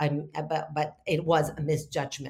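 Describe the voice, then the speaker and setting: A woman's very deep, low, somewhat breathy voice, flat and monotone, at a moderate pace. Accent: Spanish. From Argentina. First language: Spanish. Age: 50s. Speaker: spiritual teacher and healer. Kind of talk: interview. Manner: halting.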